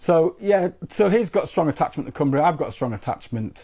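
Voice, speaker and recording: A man speaks in a dark, mellow tone. His intonation is lively and his pace fairly quick. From northeast England. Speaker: crime fiction author. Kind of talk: interview. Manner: halting, many repetitions.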